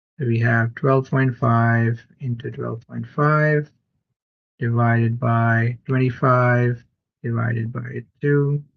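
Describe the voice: Speaking slowly at a medium pitch, a man shows vocal fry and fairly even intonation.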